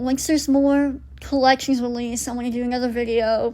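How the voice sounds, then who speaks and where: A woman speaks with an American accent. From US South. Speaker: YouTuber, doll collector. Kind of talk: casual vlog monologue. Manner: halting, with self-corrections.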